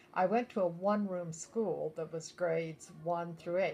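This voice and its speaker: A woman with an American accent speaks at a fairly low pitch. Her intonation is fairly even, and noticeable background noise is present. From rural Nebraska, US Midwest. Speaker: grandmother interviewed for a school project. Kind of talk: oral history interview.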